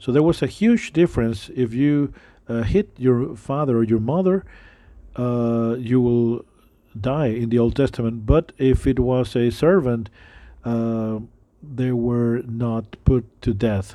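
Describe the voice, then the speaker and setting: Against a quiet background, a man with a dark, mellow tone speaks at a very slow pace with ordinary pitch variation. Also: medium pitch for a man. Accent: non-native. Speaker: preacher. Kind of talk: sermon. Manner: halting, many fillers.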